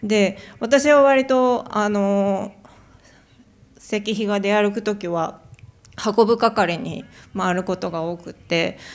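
A woman's medium-pitched voice at a very slow pace, with ordinary pitch variation and long, frequent pauses. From Japan. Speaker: artist; panelist. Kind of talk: artist talk. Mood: calm, reflective. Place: hall. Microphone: handheld.

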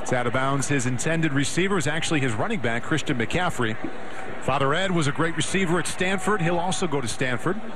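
Animated in tone, a man speaks at a very fast pace with lively intonation, fairly high pitch and very even loudness over noticeable background noise. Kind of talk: live sports commentary. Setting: broadcast from stadium. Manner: animated, brisk play-by-play delivery.

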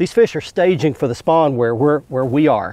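A man talks at a fairly quick pace, his pitch medium and his tone slightly mellow.

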